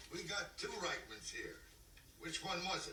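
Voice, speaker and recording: A put-on character voice in a Western US accent comes out raspy and rumbling at a moderate pace, with clear background noise behind it. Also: man. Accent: rural Western drawl. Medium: short film. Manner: grumbling, sardonic.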